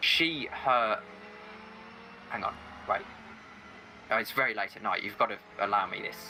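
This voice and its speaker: Against noticeable background noise, a man with an English Midlands accent speaks at a moderate pace, leaving long, frequent pauses. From England, Staffordshire. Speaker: sim racing commentator. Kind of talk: casual chat.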